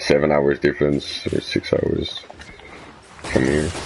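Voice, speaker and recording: A voice in a Dutch accent with noticeable background noise. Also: man. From Netherlands. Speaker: gaming streamer. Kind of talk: casual chat. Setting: live game stream. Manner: halting.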